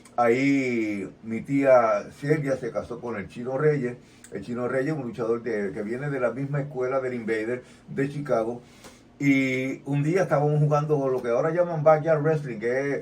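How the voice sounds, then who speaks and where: With a Puerto Rican accent, a man speaks at a fairly slow pace and medium pitch, with ordinary pitch variation. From Puerto Rico. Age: 70s. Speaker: retired pro wrestler. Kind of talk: interview.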